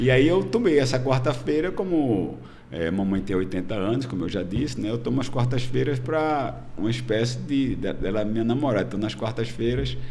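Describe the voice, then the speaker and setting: A man speaks at a moderate pace and medium pitch, with vocal fry. Room echo can be heard. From Brazil, Pernambuco (Recife). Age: 60s. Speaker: politician, retired military police colonel. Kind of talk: podcast interview. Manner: hesitant, many fillers.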